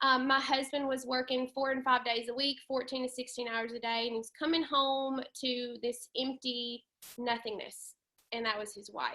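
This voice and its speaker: A woman's high-pitched, monotone, flat delivery at a moderate pace, with a Southern US accent. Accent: southern twang. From US South, western Tennessee. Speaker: network marketing leader. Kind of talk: webinar presentation. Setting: video call. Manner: casual, many filler ums.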